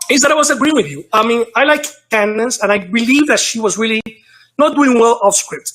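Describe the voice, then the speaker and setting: A man with an extremely high pitch talks at a fairly quick pace with ordinary pitch variation. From New York, Dominican parents. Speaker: caller. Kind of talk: call-in discussion.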